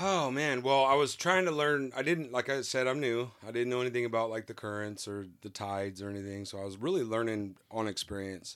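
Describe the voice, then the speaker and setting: With an American accent, the speaker talks at a fairly quick pace with hardly any pauses and lively intonation. It's an unremarkable speaking voice on a very clean recording with a silent background. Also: man, medium pitch for a man. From California. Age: 40s. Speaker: novice liveaboard sailor. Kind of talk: casual interview, storytelling. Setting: aboard a sailboat.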